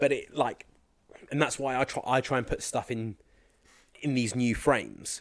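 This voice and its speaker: At a moderate pace, a man speaks at medium pitch in a monotone, flat intonation, with long, frequent pauses. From Somerset, England. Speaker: fitness and mindset coach. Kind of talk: casual interview chat.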